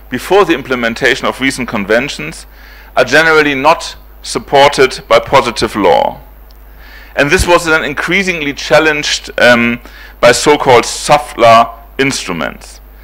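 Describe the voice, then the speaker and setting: Here a man talks at a moderate pace. He speaks with a German accent. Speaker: professor. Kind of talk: lecture. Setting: conference hall with audience. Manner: halting, many fillers.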